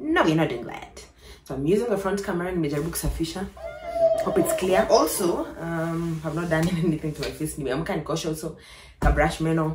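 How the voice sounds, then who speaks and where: Amid noticeable background noise and audible room echo, a woman speaks at a fairly quick pace with a fairly low pitch and ordinary pitch variation. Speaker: lifestyle vlogger. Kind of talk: casual vlog chat.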